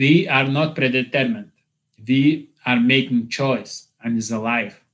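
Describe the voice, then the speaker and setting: Speaking at a fairly slow pace, a man with a non-native accent uses medium pitch. His pitch variation is ordinary. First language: not English. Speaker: YouTuber. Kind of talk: livestream monologue. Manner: halting.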